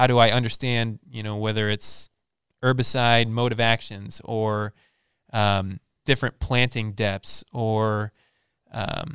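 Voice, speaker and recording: Recorded very cleanly with a silent background and a dry, close sound with no echo, a man with an American accent talks at a fairly low pitch with fairly even intonation. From southeastern Wisconsin, US. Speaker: agronomy sales rep. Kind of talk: casual interview.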